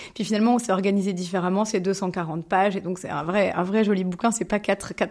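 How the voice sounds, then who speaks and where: A woman's medium-pitched voice at a fairly quick pace, with fairly even intonation, on a very clean recording against a silent background. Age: 30s. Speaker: dietitian and author. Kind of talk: testimony interview. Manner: halting with fillers.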